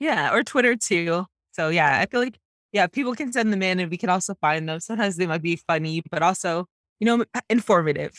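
In a very clean recording with a silent background and a dry, close sound with no echo, a woman with a Canadian accent and a plain, everyday voice talks at a fairly quick pace in a medium pitch with lively intonation. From Canada, Jamaican Canadian. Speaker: podcast co-host. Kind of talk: casual chat.

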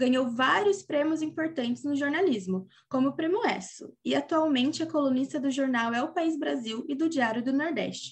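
A high-pitched woman's voice at a moderate pace, with lively intonation, very even loudness and hardly any pauses. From interior of São Paulo state, Brazil. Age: 20s. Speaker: podcast host, journalist. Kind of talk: scripted narration; casual interview.

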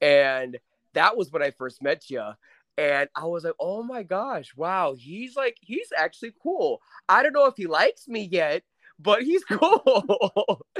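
Speaking in an American accent, a high-pitched man talks at a fairly slow pace with very wide pitch swings, on a very clean recording with a silent background and a dry, close sound with no echo. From New York City. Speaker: podcast guest, friend of host. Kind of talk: casual chat.

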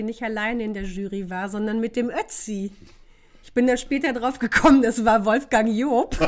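Pitch varies in an ordinary way as the speech keeps a moderate tempo. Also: woman. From northern Germany, Osnabrück. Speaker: podcast guest. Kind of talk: casual chat.

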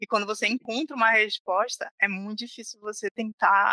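A woman speaks at a moderate pace in a fairly high pitch with a bright, sharp tone and monotone, flat intonation, the sound dry and close with no echo. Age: 30s. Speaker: software developer. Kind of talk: casual chat.

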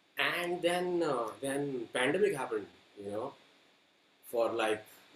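A man talks at a fairly slow pace, and noticeable background noise can be heard. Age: 30s. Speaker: singer-songwriter. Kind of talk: interview.

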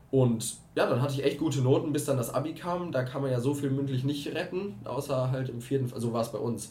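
Amid noticeable background noise and audible room echo, a man with a fairly high pitch speaks at a fairly quick pace with fairly even intonation. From Germany, Herford (East Westphalia). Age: 20s. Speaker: podcast co-host. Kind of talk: casual chat.

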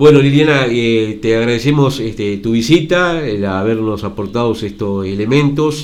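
In a room with audible echo, a man of medium pitch speaks at a moderate pace with hardly any pauses and ordinary pitch variation. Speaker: radio host. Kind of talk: radio interview.

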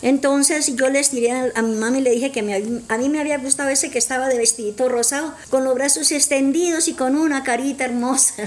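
A woman speaks at a fairly quick pace, with hardly any pauses, in a high pitch. Noticeable background noise sits behind her. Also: fairly even intonation. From Colombia, Santander. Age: old. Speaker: grandmother guest. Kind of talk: personal testimony.

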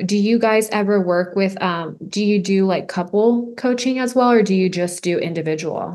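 Speaking in an American accent, a woman has an ordinary speaking voice at medium pitch. Her pace is moderate, with ordinary pitch variation and hardly any pauses. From Rio Grande Valley, Texas. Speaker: podcast host, health and wellness coach. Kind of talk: casual interview chat.

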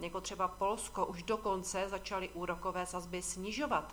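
This woman has an unremarkable speaking voice at medium pitch. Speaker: financial market commentator. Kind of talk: scripted market commentary. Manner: formal.

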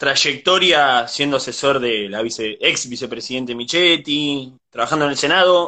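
A man's fairly high, bright, sharp voice at a moderate pace, with a Rioplatense accent. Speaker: interviewer. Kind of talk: interview.

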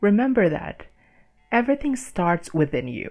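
A woman talks in an Indonesian accent. Her pitch swings very wide. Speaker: podcast host. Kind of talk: solo podcast monologue. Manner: halting, with many fillers.

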